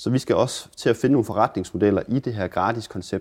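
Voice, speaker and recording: Against a quiet background, a man talks at a fairly quick pace in a dark, mellow tone with ordinary pitch variation. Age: 20s. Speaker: repair café founder. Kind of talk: interview.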